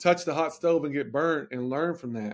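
A man speaks at a moderate pace, his intonation lively. The recording is very clean, the background silent. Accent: Southern US. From Tennessee, near Nashville. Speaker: strength and conditioning coach. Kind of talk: podcast interview.

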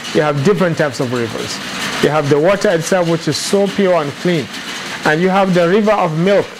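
A man with a high pitch talks at a fairly quick pace with ordinary pitch variation and very even loudness, with audible room echo and noticeable background noise. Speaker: Islamic teacher. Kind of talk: lecture.

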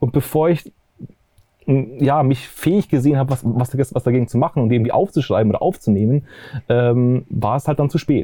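With a dark, mellow tone at a medium pitch, a man speaks with ordinary pitch variation, and the sound is dry and close with no echo. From Bavaria, near Munich. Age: 30s. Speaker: documentary filmmaker. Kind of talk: interview. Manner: halting, many fillers.

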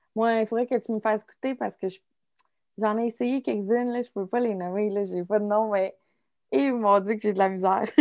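Talking at a fairly quick pace, a woman with a normal speaking voice uses a fairly high pitch with ordinary pitch variation, recorded in a dry, close sound with no echo. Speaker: student podcast host. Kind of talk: casual interview.

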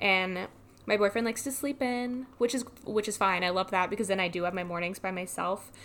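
Recorded very cleanly against a silent background, a woman in an unremarkable speaking voice talks at a fairly quick pace, with a medium pitch and ordinary pitch variation. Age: 20s. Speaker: podcast host. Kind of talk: personal monologue. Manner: casual, chatty.

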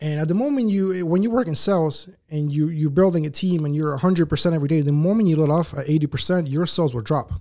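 A man with an American accent talks very fast with hardly any pauses, his fairly high voice having a dark, mellow tone and ordinary pitch variation, on a very clean recording with a silent background. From Uruguay, then US (New Jersey, Atlanta) from age ten. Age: 20s. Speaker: business owner, entrepreneur. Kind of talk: casual interview chat.

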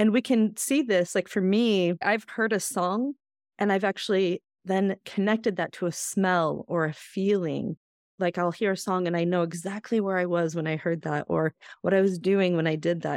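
With an ordinary speaking voice, a woman speaks at a medium pitch and a moderate pace, her pitch varying in an ordinary way in a dry, close sound with no echo. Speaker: podcast co-founder and host. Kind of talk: casual chat, personal storytelling.

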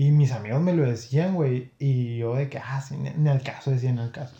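This man's voice is somewhat breathy, with a dark, mellow tone. He speaks at a fairly slow pace and a medium pitch. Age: 20s. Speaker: podcast guest. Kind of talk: casual chat.

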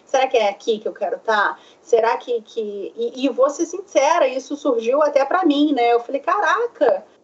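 A woman with a high-pitched voice speaks at a moderate pace with lively intonation and hardly any pauses, over noticeable background noise. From Brazil, Rio de Janeiro. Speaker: psychoanalyst. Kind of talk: interview. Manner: hesitant, many fillers.

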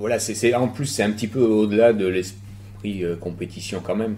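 A man talks at a moderate pace with fairly even intonation. Noticeable background noise and audible room echo fill the recording. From France, Bordeaux. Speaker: BMX rider and stunt performer. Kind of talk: casual interview. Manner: halting.

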